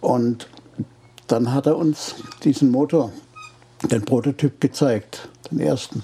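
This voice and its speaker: A man speaks at a very slow pace and medium pitch, with ordinary pitch variation and very even loudness. Long, frequent pauses break up his speech over noticeable background noise. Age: 80s+. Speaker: retired engine engineer. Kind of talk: interview. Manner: halting.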